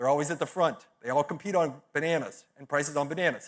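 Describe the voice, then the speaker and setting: Animated in tone, a man with an American accent talks at a very fast pace and a fairly high pitch. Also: very clean recording, silent background. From Texas, San Antonio. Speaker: business speaker and podcast host. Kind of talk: conference talk.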